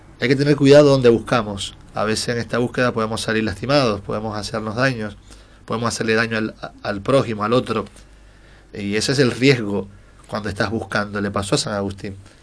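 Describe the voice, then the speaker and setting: This man's pitch is medium and his intonation fairly even. He speaks at a fairly quick pace. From Dominican Republic. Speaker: social communicator. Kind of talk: interview. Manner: hesitant, many fillers.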